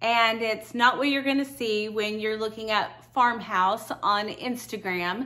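A woman talks at a fairly slow pace. Her tone is bright and sharp. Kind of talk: casual vlog chat. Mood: warm, friendly. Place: home room. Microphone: lapel.

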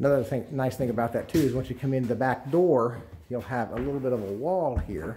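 Here a man talks at a moderate pace in a dark, mellow tone. His intonation is lively. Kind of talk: walkthrough narration. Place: home room. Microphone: phone near.

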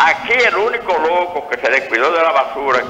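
Amid light background noise and audible room echo, a man with a high voice speaks at a moderate pace with lively intonation. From Dominican Republic, Santiago; Dominican Republic. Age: 70s. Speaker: caller; guest. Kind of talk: phone-in opinion. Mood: indignant, critical of politicians. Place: studio.

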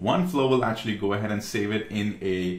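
Audible room echo carries a man's voice as he speaks at a moderate pace. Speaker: tech tutorial creator. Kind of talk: tutorial. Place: home room.

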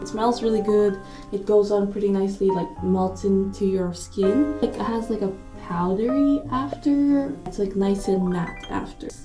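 Clear music plays in the background while the speaker talks at a moderate pace. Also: woman. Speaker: travel vlogger. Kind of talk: casual vlog chat. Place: bathroom. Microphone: phone near.

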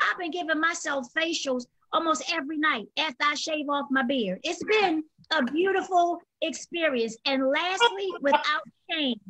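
Speaking in a raised, projected voice with an American accent, a woman talks at a moderate pace with a high pitch, lively intonation and a bright, sharp tone. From Maryland, US. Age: 50s. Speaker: comedian. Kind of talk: casual chat. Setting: video call. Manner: animated.

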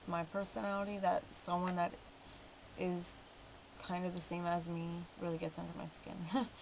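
Amid light background noise, a woman talks at a moderate pace with fairly even intonation. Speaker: vlogger. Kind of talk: casual vlog chat. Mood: mildly annoyed, reflective. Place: home room. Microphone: webcam.

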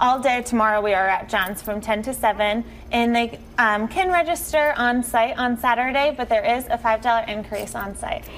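Light background noise sits under a woman's voice, which shows ordinary pitch variation. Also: moderate pace. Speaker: guest. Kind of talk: interview answer. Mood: friendly, upbeat. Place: studio.

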